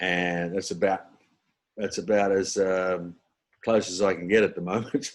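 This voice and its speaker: In a very clean recording with a silent background, a man with an Australian accent talks at a moderate pace in a very deep, low, monotone voice, leaving long, frequent pauses. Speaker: comedian and impressionist. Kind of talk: casual chat. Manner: halting.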